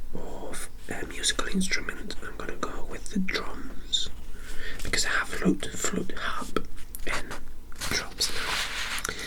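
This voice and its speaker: This man whispers very slowly, with long, frequent pauses, while noticeable background noise runs underneath. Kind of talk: ASMR tabletop game tutorial. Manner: whispered.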